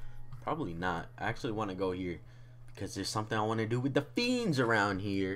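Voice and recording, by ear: Text is read aloud here. The delivery uses a natural voice.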